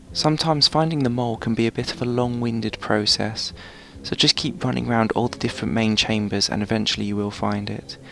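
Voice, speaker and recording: This soft-spoken man talks very fast at a medium pitch, with ordinary pitch variation and noticeable background noise behind him. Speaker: gaming video narrator. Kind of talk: game guide tutorial. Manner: quiet, soft-spoken.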